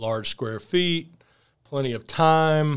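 Over a silent background in a very clean recording, a man with a Southern accent talks with ordinary pitch variation. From US South, Alabama (Fairhope near Mobile). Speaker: coworking space owner. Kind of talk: casual interview.

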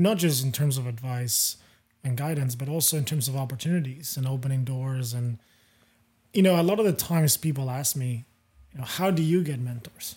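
The man's voice is somewhat breathy. Its tone is dark and mellow. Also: medium pitch for a man, ordinary pitch variation, moderate pace. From Europe. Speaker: podcast host. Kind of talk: casual chat.

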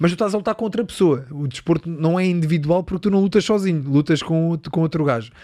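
Speaking at a very fast pace, a man uses a high pitch with ordinary pitch variation and a dark, mellow tone. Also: hardly any pauses. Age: 30s. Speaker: Muay Thai fighter. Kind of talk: casual chat.

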